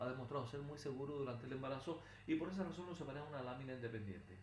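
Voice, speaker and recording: A man speaks at a very fast pace in a fairly high voice with ordinary pitch variation. Noticeable background noise and audible room echo surround him. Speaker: pharmacology lecturer. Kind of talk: recorded lecture. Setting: recorded video lesson, not in a classroom.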